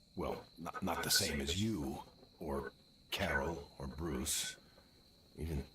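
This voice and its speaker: In a raspy, put-on character voice, a man talks at a moderate pace with lively intonation over clear background noise. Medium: video game. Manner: earnest, plainspoken.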